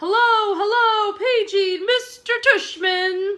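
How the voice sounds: Using a put-on character voice, a woman talks very slowly at an extremely high pitch.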